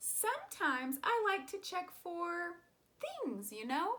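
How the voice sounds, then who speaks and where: A woman does a squeaky put-on character voice at an extremely high pitch, swinging very widely in pitch at a fairly slow pace. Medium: read story. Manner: polite, chirpy.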